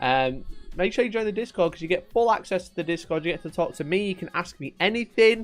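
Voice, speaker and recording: A man's high-pitched, very fast speech in a strong Yorkshire accent, with ordinary pitch variation. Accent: thick Yorkshire. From Yorkshire, England. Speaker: wargaming streamer. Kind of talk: live stream chat. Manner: casual, animated.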